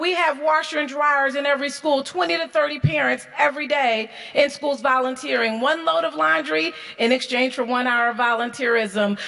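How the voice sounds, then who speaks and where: Over noticeable background noise, a woman with an American accent talks fairly quickly in a high, animated voice. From St. Louis, Missouri. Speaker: school superintendent. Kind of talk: award acceptance speech.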